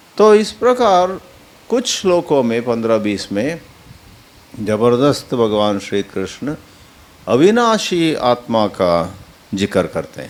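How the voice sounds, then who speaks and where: With a Kannada accent, a man at medium pitch speaks with very wide pitch swings and long, frequent pauses. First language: Kannada (speaking Hindi). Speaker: spiritual teacher. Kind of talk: religious discourse on scripture. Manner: halting, self-correcting.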